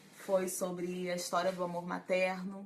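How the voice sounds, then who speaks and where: At a fairly slow pace and medium pitch, a woman talks over noticeable background noise. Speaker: psychologist. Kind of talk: live stream talk to viewers. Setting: Facebook live stream.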